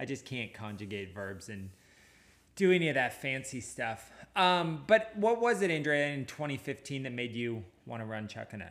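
A medium-pitched man speaks with very wide pitch swings and big swings in loudness. The recording is very clean, with a silent background. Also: moderate pace. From Washington State (Anacortes). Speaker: running podcast host, running store owner. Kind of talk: casual chat.

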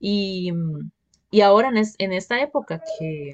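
A woman at medium pitch has an unremarkable speaking voice over a quiet background. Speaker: podcast host. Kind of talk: interview.

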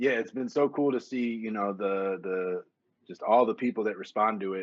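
A man talks at a fairly quick pace in an ordinary speaking voice, fairly low in pitch with ordinary pitch variation. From Wisconsin. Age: 40s. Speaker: hip hop DJ. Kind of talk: casual interview.

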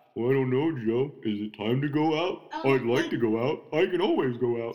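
Putting on a character voice, a man speaks at a fairly quick pace and a medium pitch. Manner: eager, playful.

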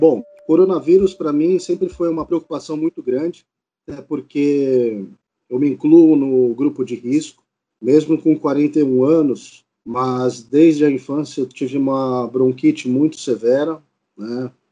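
A dark, mellow tone at a fairly slow pace, with ordinary pitch variation. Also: man, fairly high pitch for a man. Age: 40s. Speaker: criminal lawyer. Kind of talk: testimony.

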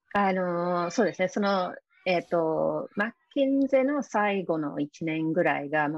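Speaking with an English accent, a woman goes at a fairly slow pace. Her pitch swings very widely, and the sound is dry and close with no echo. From UK. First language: English (speaking Japanese). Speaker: success coach and author. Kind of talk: interview. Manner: halting, many fillers.

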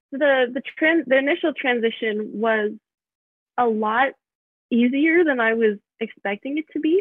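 Lively in intonation, a woman speaks at a very slow pace. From US Midwest, Michigan. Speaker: college student. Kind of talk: interview. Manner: hesitant, many fillers.

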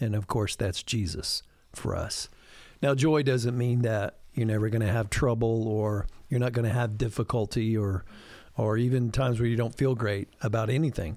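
In a normal speaking voice of medium pitch, a man talks at a moderate pace with fairly even intonation and very even loudness. The recording is very clean, its background silent. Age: 50s. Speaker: pastor. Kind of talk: casual chat.

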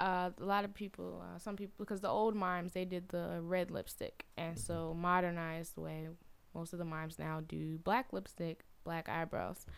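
In a Southern US accent, a woman speaks at a fairly low pitch and a moderate pace with fairly even intonation. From US South, Atlanta. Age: 20s. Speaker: praise mime and arts school founder. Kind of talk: casual chat.

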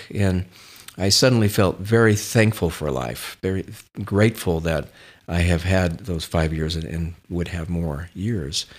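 A man with an American accent speaks at a fairly slow pace in a very deep, low pitch with ordinary pitch variation. The recording is very clean with a silent background. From California. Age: 60s. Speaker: real estate developer. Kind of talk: casual interview, personal storytelling.

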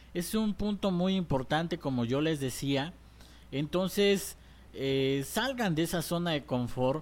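Speaking at a fairly slow pace, a man with a fairly high pitch keeps his loudness very even while his intonation stays lively. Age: 20s. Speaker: business coach. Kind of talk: tutorial. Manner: hesitant with fillers.

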